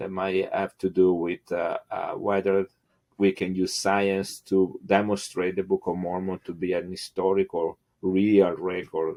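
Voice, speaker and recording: Someone with an Italian accent speaks at a fairly slow pace in a monotone, flat intonation. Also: man, very deep, low pitch for a man. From Italy. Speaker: geneticist. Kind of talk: interview. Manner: halting, many fillers.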